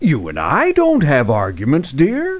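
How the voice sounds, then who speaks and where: A man puts on a character voice. He keeps to a moderate pace. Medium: video game. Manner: loud, exasperated.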